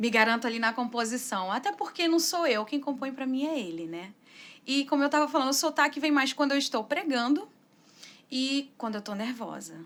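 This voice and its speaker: High in pitch, a woman speaks at a fairly quick pace with lively intonation. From Brazil, raised in São Paulo, born Arapiraca, Alagoas. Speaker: singer-songwriter. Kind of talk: interview.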